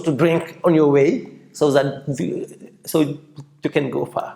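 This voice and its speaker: Very slowly, a man speaks at a fairly high pitch with vocal fry. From Senegal. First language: French. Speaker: entrepreneur. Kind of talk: interview. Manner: halting, many repetitions and false starts.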